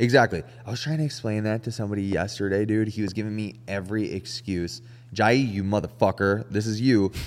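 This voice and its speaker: A man with an ordinary speaking voice speaks at a fairly quick pace and fairly low pitch with fairly even intonation, on a very clean recording with a silent background. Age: 30s. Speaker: podcast host. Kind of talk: casual chat.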